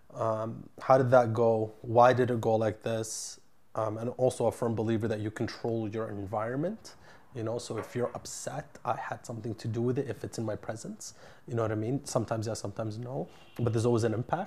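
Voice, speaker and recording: A man talks at a fairly quick pace with a Canadian accent. His voice is somewhat breathy and medium in pitch, with fairly even intonation. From Ottawa, Canada. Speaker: entrepreneur, construction company CEO. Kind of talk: interview.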